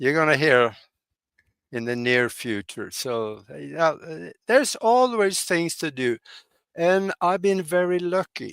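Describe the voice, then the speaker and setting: With a Norwegian accent, a man at a fairly high pitch speaks fairly slowly with very wide pitch swings, in a very clean recording with a silent background and a dry, close sound with no echo. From Norway. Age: 80s+. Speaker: pilot and hypnotherapist, podcast guest. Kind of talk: interview conversation. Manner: halting, many fillers.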